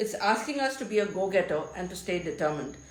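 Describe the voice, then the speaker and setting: The voice is somewhat breathy and moves at a fairly quick pace. Audible room echo surrounds it. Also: woman. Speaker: tarot reader, spiritual guide. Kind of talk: tarot reading monologue. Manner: halting.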